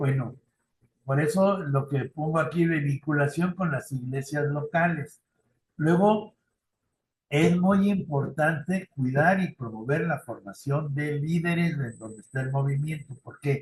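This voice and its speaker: The speaker has a Mexican accent and sounds somewhat breathy. Pitch varies in an ordinary way. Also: man, fairly high pitch for a man, fairly slow pace. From Mexico. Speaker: youth ministry trainer. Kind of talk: lecture. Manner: conversational.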